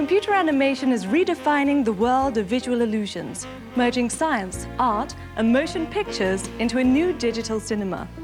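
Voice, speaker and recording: Over music in the background, the speaker moves at a fairly quick pace with lively intonation and very even loudness. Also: woman, high pitch for a woman. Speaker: TV host. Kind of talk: documentary TV presenting.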